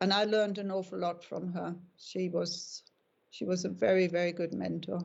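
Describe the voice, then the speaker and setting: A woman speaks in a German accent at a moderate pace. Her intonation is monotone and flat. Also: fairly low pitch for a woman. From Germany. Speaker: dog breeder. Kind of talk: interview.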